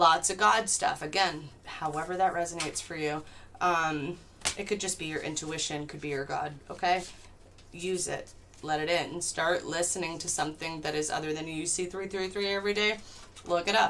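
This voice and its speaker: Noticeable background noise beneath fairly even intonation. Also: woman. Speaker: tarot reader. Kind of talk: live stream tarot reading. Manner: fast; casual, profane.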